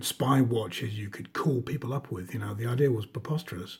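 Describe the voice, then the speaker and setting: A man speaks at medium pitch in a dark, mellow tone. His voice is somewhat breathy. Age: 40s. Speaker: watch reviewer, former diver. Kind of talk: casual show-and-tell video review. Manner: hesitant, many fillers and repetitions.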